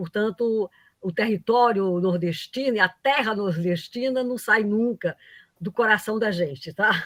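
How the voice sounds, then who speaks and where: In a dry, close sound with no echo, a woman with a northeastern Brazilian accent speaks at a fairly slow pace, her fairly high pitch showing ordinary pitch variation. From Paraíba, Northeast Brazil. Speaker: economics professor. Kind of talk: lecture. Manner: halting, many fillers.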